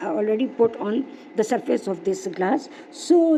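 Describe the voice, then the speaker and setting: A woman is speaking. Noticeable noise sits in the background. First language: not English. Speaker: craft video maker. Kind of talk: craft tutorial. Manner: halting, many fillers.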